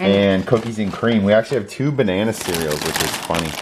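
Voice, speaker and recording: There is light background noise behind this man. His voice is fairly low in pitch. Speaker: vlogger. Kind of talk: casual vlog chat. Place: kitchen. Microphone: phone near.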